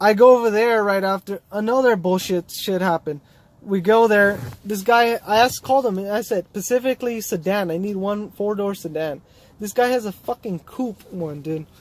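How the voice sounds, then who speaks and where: The speaker mumbles at a moderate pace. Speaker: car DIY youtuber. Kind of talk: casual vlog storytelling. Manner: rambling casual, mumbling.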